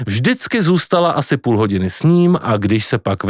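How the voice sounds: The clip features a natural reading voice. Nothing else is described.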